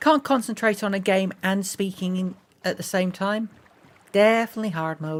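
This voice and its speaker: A woman with an English Midlands accent speaks at a moderate pace, her medium pitch moving with ordinary variation. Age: 40s. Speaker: gaming streamer. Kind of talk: live gameplay stream chat. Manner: halting, stumbling over words; mumbling.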